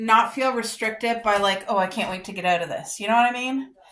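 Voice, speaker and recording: A loud, animated woman's voice, fairly high in pitch, with a bright, sharp tone. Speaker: lifestyle vlogger. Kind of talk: casual vlog try-on haul.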